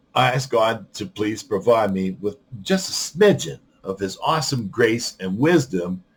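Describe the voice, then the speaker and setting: Somewhat breathy and at medium pitch, a man talks with lively intonation. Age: 60s. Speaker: podcaster sharing amputation journey. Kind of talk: personal monologue podcast. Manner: halting.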